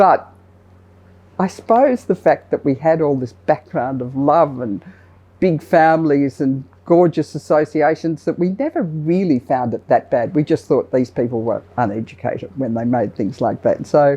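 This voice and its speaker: Very deep and low in pitch, a woman talks at a moderate pace. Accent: Australian. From Australia (Sydney). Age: 60s. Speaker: business leader, retail chairperson. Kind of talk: interview testimony.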